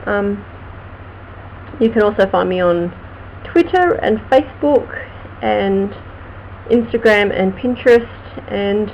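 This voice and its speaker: Through noticeable background noise, a woman with an Australian accent speaks at a fairly slow pace. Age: 40s. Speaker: vlogger and crime writer. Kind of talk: casual live stream chat.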